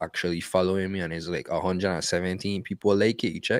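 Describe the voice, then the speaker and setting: In a strong Virgin Islands accent, a man with a very deep, low pitch talks very fast in a monotone, flat intonation, recorded dry and close with no echo. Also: very clean recording, silent background. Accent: strong Virgin Islands Creole-tinged. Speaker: podcast co-host. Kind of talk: casual chat. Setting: live-streamed podcast. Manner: repetitive, stammering with frequent fillers.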